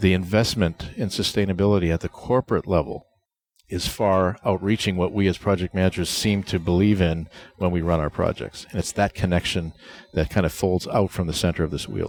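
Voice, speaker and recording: With a New England accent, a man talks at a fairly quick pace in a very deep, low pitch, keeping his intonation fairly even. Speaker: project management author and presenter. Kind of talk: interview. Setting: conference venue.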